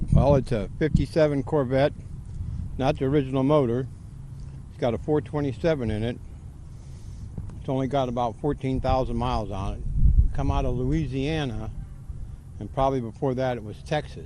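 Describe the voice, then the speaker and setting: A man at a medium pitch and moderate pace, with ordinary pitch variation, big swings in loudness and long, frequent pauses. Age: 60s. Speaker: car owner. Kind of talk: casual interview.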